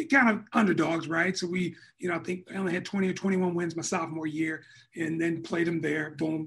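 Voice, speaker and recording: This man has a high pitch and an American accent. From West Michigan, Muskegon. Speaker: basketball executive and former player. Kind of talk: casual interview.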